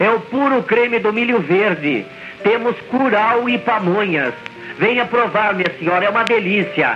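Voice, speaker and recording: A high-pitched man at a fairly slow pace with ordinary pitch variation, clear music in the background. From interior of São Paulo state, Brazil. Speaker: street food vendor. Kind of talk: street vendor loudspeaker announcement. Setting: cassette tape recording played through loudspeakers. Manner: repetitive, sing-song sales pitch. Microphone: old recording.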